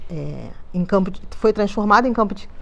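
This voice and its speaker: Fairly even intonation in a woman's medium-pitched voice. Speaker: museology researcher. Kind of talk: panel talk. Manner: halting.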